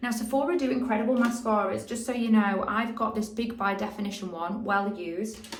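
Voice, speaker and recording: Room echo can be heard. Pitch rises and falls in an ordinary way. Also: woman. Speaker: beauty vlogger. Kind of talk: tutorial. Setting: home, natural light. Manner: slow; casual, chatty.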